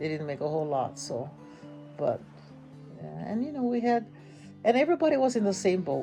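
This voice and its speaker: Music plays in the background as a woman with a Hawaiian accent talks at a fairly quick pace, broken by long, frequent pauses. Her medium pitch moves in very wide swings. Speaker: grandmother. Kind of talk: interview answer.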